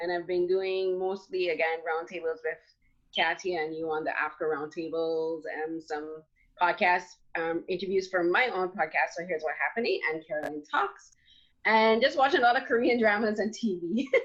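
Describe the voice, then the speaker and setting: Her voice sits fairly low, and its pitch moves in an ordinary way. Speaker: film critic and podcaster. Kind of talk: panel discussion. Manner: fast.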